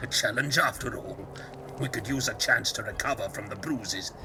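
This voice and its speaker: With loud noise behind him, a man uses a put-on character voice at a medium pitch and a moderate pace. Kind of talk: archaic fantasy speech. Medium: solo performance. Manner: jovial, folksy.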